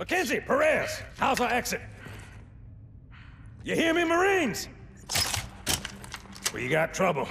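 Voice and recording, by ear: In a put-on character voice, a woman speaks slowly at a fairly high pitch with a fairly bright tone and vocal fry, her pitch swinging very widely between long, frequent pauses.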